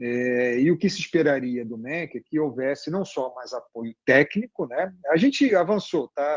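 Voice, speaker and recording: A man with an ordinary speaking voice talks at a fairly slow pace and a fairly high pitch, with lively intonation, big swings in loudness and hardly any pauses. The background is quiet and the sound is dry and close with no echo. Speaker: education journalist and author. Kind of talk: interview.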